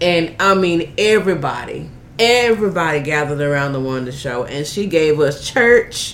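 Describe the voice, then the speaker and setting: Over noticeable background noise, a woman speaks with an animated, upbeat tone and a very deep, low pitch. Her pace is moderate and her intonation lively. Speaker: radio show host. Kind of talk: casual interview chat.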